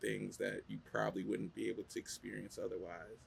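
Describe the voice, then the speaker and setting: A man speaks with an American accent. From New Jersey. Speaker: podcast host. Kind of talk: interview conversation.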